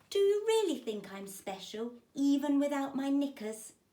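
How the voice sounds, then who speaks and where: A woman speaks in a put-on character voice at a moderate pace. Her pitch is high, with very wide swings. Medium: read story. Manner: exuberant, theatrical.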